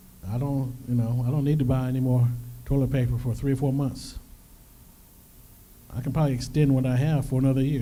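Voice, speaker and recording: In a room with audible echo, a man of medium pitch speaks in a monotone, flat way at a very fast pace broken by long, frequent pauses. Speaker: financial workshop presenter. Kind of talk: workshop presentation.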